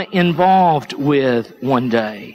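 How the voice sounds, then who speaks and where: With lively intonation, a man talks while light background noise plays behind him. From East Tennessee, US Appalachia. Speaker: pastor. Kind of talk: sermon. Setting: church. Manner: halting, frequent repetitions. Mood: conversational, storytelling, light humor. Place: church.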